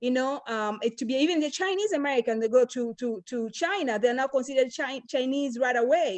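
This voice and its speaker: A woman with an African accent, high-pitched, at a fairly quick pace with hardly any pauses. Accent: African accent, still noticeable. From Tanzania. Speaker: panel guest. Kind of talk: round-table discussion. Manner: hesitant, many fillers.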